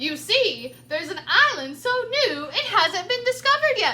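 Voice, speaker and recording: A woman does a put-on character voice at an extremely high pitch. Her pitch swings very widely. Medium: read story. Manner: cheerful.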